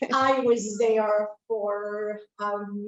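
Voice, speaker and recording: A woman with a Spanish accent speaks at a medium pitch with monotone, flat intonation. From Cuba, later raised in Spain and US. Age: 60s. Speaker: audience member. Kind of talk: personal testimony. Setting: speaking into camera at library talk.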